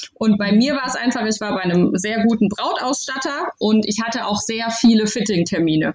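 A woman's normal speaking voice, fairly high in pitch, at a moderate pace with hardly any pauses and ordinary pitch variation. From Baden-Württemberg, Heidelberg area. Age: 30s. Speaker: new mother and bride. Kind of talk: casual interview.

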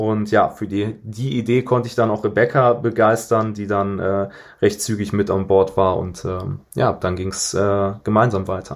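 In a very clean recording with a silent background, a man with a fairly low pitch speaks at a moderate pace with fairly even intonation. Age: 20s. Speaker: startup co-founder. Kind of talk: casual chat.

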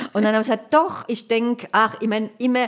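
A woman talks in a cheerful tone against noticeable background noise. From Hesse, Germany (Hanau). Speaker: accessibility activist, wheelchair user. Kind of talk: interview. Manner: cheerful, often laughing.

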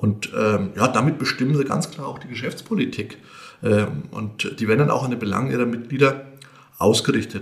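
A man has an ordinary speaking voice at a medium pitch with ordinary variation. His loudness swings a lot as he talks at a moderate pace. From Lower Franconia, Bavaria (Grabfeld area). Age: 50s. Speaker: bank executive. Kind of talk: podcast interview.

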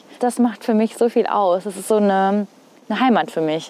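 There is noticeable background noise behind this woman. She speaks at a fairly quick pace with ordinary pitch variation. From northern Hesse, Germany. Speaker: TV weather presenter. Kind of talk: casual chat. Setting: outdoors on a rooftop.

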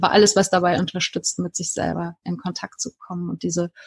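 A woman speaks in a fairly low, somewhat breathy voice, recorded dry and close with no echo. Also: very clean recording, silent background. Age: 40s. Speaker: life coach. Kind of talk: interview.

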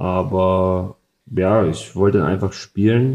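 Speaking at a very slow pace, a man with a slight Saxon accent keeps his intonation fairly even. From Saxony, Freiberg. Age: 30s. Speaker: football goalkeeper. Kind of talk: interview.

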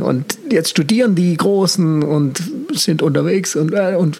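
A man with very wide pitch swings against noticeable background noise. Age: 40s. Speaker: communication consultant and mentor. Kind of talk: casual interview.

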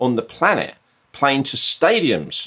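Speaking with a southern English accent, a man at medium pitch keeps a moderate pace with ordinary pitch variation. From southern England. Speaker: mindfulness coach and former artist manager. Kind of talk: casual interview.

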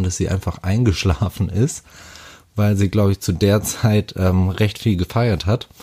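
Heard dry and close with no echo, a man speaks at a very slow pace in a fairly low, somewhat breathy voice with a dark, mellow tone and fairly even intonation. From Hamburg, northern Germany. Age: 30s. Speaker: interviewee telling couple's story. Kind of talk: personal storytelling.

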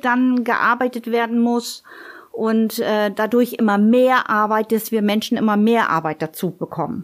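A woman with a fairly high pitch talks very slowly. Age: 50s. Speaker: office clerk. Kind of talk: casual interview.

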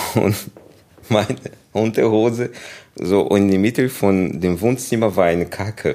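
A man with a Portuguese accent talks at a moderate pace with a fairly low pitch and ordinary pitch variation. His loudness stays very even, and he pauses often and at length. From Brazil, Rio de Janeiro. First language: Portuguese (speaking German). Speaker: kung fu teacher. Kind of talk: interview. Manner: halting.

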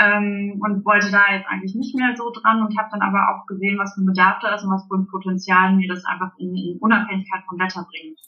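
A woman talks at a very fast pace with hardly any pauses, big swings in loudness and fairly even intonation, over noticeable background noise. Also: medium pitch for a woman. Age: 30s. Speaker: indoor playground founder and childminder. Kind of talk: interview. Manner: halting, many fillers.

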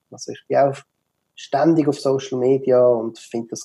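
A man with a Swiss German accent speaks at a moderate pace in a fairly high voice, his intonation fairly even. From Switzerland. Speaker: digital marketer, office furniture expert. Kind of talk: interview. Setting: video call. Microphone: poor Zoom audio quality.

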